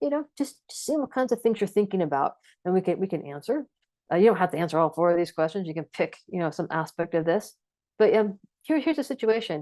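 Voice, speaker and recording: A woman's dark, mellow voice at medium pitch, very fast, with very wide pitch swings, dry and close with no echo, over a quiet background. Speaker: trainer. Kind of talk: lecture. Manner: filler words and repetitions.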